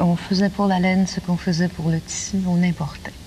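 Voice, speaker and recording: A woman holds a moderate pace while noticeable background noise runs underneath. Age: 30s. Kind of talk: TV interview answer.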